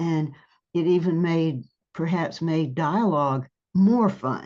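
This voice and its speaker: With an American accent, a woman speaks at a very slow pace and a fairly low pitch. Her tone is dark and mellow, with ordinary pitch variation. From US South. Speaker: writer. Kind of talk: casual chat. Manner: halting.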